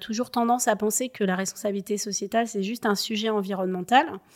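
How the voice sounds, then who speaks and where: The speaker uses a normal speaking voice with fairly even intonation. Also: woman. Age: 30s. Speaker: chartered accountant, sustainability consultant. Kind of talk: interview.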